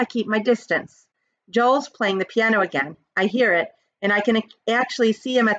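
Quiet surroundings for plain reading aloud

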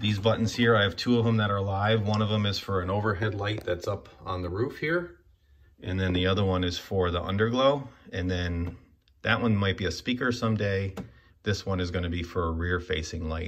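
A man with a fairly low, somewhat breathy voice speaks at a fairly quick pace. His intonation is fairly even, with light background noise. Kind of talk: casual walkthrough tour. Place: garage. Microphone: phone near.

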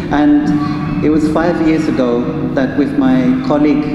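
A man's voice amid loud background noise and audible room echo. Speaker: presenter. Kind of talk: lecture. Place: hall. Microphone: handheld.

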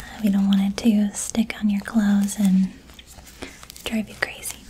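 Over light background noise, a soft-spoken woman with a gentle tone talks at a moderate pace in a monotone, flat intonation. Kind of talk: role-play salon chat, soft-spoken. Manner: soft-spoken, gentle ASMR voice. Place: home room.

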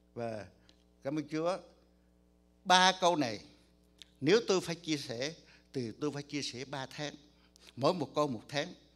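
Faint music plays behind a man with a fairly high pitch and ordinary pitch variation. He talks very slowly, with long, frequent pauses. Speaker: pastor. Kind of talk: sermon. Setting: church. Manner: soft-spoken. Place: church.

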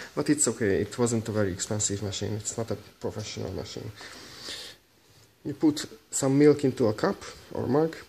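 A man with a Hungarian accent speaks at a fairly quick pace, yet with long, frequent pauses and lively intonation. His tone is dark and mellow, somewhat breathy, with light background noise. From Hungary. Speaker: barista. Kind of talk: tutorial talk to camera. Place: kitchen. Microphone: phone near.

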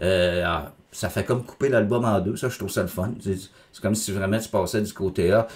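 A man with a Quebec accent speaks at a fairly low pitch against a quiet background. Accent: Québécois French. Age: 50s. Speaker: music critic YouTuber; music reviewer. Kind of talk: album review monologue; casual review commentary. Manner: casual, hesitant with many fillers. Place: home room.

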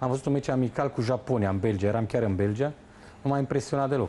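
A man talks at a very fast pace in a dark, mellow tone, his loudness staying very even. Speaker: football pundit. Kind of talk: studio football analysis. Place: studio.

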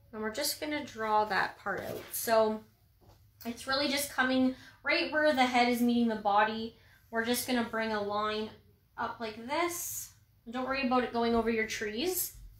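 Audible room echo surrounds speech at a moderate pace with ordinary pitch variation. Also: woman, fairly high pitch for a woman. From Ontario, Canada. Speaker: painting instructor. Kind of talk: tutorial. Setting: livestream. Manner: casual, chatty. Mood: friendly, upbeat. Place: home room. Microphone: phone near.

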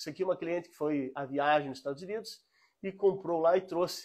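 A man's high-pitched voice at a fairly quick pace, against a quiet background. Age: 40s. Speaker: antique shop seller. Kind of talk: live sales stream. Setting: antique shop, live stream. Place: shop.

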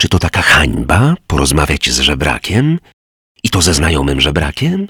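A man puts on a character voice that is hoarse, with a very deep, low pitch and very even loudness. He speaks at a moderate pace in a dry, close sound with no echo. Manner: muttering.

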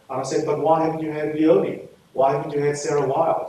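Audible room echo and light background noise fill the space. A man talks at a fairly quick pace. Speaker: guest lecturer. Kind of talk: lecture. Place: hall. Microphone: podium.

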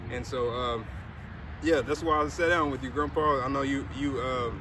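A man at a moderate pace, with noticeable background noise and a dry sound with no echo. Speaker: interviewer, grandson. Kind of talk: interview questions. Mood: warm, respectful. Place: open country.

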